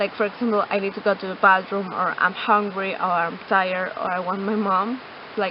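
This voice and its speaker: Someone speaks with a Latin American accent over noticeable background noise. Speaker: interviewee sharing personal experience. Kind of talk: personal testimony. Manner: halting, many fillers.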